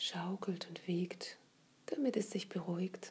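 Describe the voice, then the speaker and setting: Very slow speech with a soothing, gentle tone. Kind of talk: guided meditation. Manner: slow, soft-spoken, soothing; gentle, unhurried, with long pauses.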